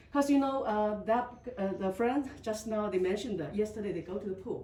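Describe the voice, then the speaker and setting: Over noticeable background noise, a woman with a Chinese accent speaks at a fairly high pitch with ordinary pitch variation. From China. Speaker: resident giving testimony. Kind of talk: testimony. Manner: halting.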